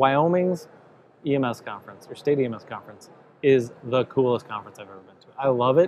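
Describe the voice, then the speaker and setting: A man talks at a moderate pace while noticeable noise sounds in the background. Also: medium pitch for a man, ordinary pitch variation. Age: 40s. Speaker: podcast host. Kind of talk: interview at a conference. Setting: expo event.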